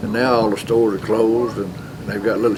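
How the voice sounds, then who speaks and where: Speaking in a flat, monotone way with a West Texas accent, the voice comes through noticeable background noise and audible room echo. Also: man. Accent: West Texas drawl. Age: 70s. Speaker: small-town resident interviewed. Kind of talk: casual interview. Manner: halting, repeats words.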